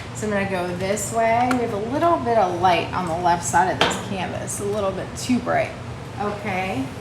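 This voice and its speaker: A woman speaks in a medium pitch with lively intonation. Audible room echo and noticeable background noise surround her. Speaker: painting teacher. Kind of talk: live painting tutorial. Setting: livestream. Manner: fast.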